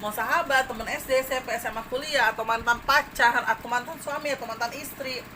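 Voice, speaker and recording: A woman talks very fast and shrill at a high pitch, with hardly any pauses and a fairly even intonation. Noticeable background noise sits behind her. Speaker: tarot reader. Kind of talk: tarot reading to viewers.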